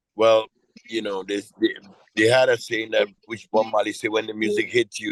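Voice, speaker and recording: A man speaks with a Trinidadian accent at a moderate pace. His speech has long, frequent pauses. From Trinidad and Tobago. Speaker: soca and reggae singer. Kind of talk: interview answer. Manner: casual, conversational.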